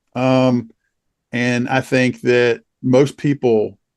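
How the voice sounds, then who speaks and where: A medium-pitched man's voice over a quiet background. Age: 60s. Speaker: trial lawyer. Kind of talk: interview. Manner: halting.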